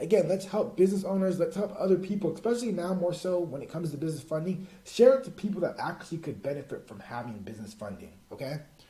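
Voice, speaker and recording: A man's high, energetic voice at a very fast pace, with lively intonation, big swings in loudness, and hardly any pauses. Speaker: business funding coach. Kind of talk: online course tutorial. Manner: casual, energetic.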